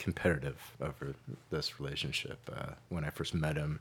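A man with an American accent has a very deep, low pitch. His voice carries vocal fry at a moderate pace. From California, Santa Cruz. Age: 40s. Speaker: author and barback. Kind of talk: casual chat.

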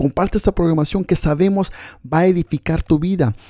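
Speaking at a fairly quick pace, a man has a dark, mellow tone in a dry, close sound with no echo. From Mexico (Coatzacoalcos, Veracruz), raised partly in US West Coast. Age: 30s. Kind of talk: personal testimony.

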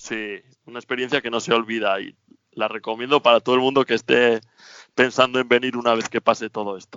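A man speaks at a fairly quick pace in a monotone, flat intonation. His loudness swings widely. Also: medium pitch for a man. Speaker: temporary resident in Australia. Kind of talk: radio interview.

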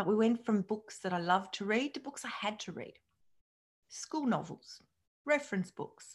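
Her voice fairly high and somewhat breathy, a woman talks at a moderate pace with lively intonation and long, frequent pauses. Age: 50s. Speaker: psychologist and podcast host. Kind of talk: solo podcast monologue.

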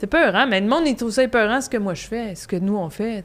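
A woman with a Quebec accent speaks at a fairly quick pace with lively intonation. The recording is very clean, with a silent background. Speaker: comedian. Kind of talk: casual chat.

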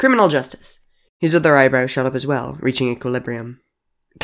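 Quiet background, ordinary pitch variation, and an unforced reading voice.

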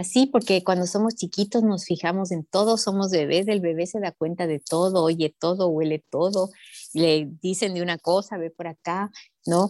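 Over a silent background in a very clean recording, a woman speaks at medium pitch with a dark, mellow tone and ordinary pitch variation. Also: moderate pace, dry, close sound with no echo. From Ecuador, Sierra highlands. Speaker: nutrition educator. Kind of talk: interview.

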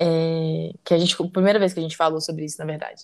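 The background is silent and the recording very clean. The words come out at a very fast pace. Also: woman. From Brazil, Belo Horizonte (Minas Gerais). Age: 20s. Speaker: psychologist, podcast co-host. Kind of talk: casual chat.

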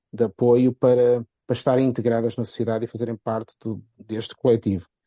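In a Porto accent, a man at medium pitch speaks at a fairly quick pace with a dark, mellow tone and monotone, flat intonation, the sound dry and close with no echo. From Portugal, Porto. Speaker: football pundit. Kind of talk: casual chat.

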